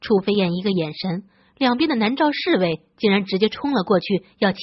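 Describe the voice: The text is read aloud plainly, and the intonation stays lively throughout.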